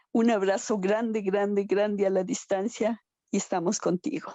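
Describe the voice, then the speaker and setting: Here is a woman with an unremarkable speaking voice. She goes at a fairly slow pace, using ordinary pitch variation. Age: 60s. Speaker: participant in survivor support talk. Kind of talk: emotional audience comment in video meeting.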